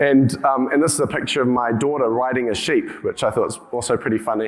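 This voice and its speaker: Through noticeable background noise, a man with a New Zealand accent talks at a very fast pace, at medium pitch, with fairly even intonation. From New Zealand, rural. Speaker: healthcare tech company CEO. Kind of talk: conference talk. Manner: halting, many fillers and restarts.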